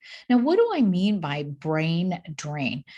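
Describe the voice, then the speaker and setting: A woman's fairly low, somewhat breathy voice, animated in tone with lively intonation, over a quiet background. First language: not English. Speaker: physician and motivational speaker. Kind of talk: keynote talk. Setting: recorded video in her office.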